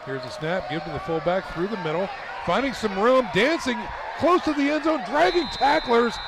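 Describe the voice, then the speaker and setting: A man's high voice moves in very wide pitch swings over noticeable background noise. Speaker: sports play-by-play announcer. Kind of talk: live commentary. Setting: outdoors at a stadium. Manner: animated.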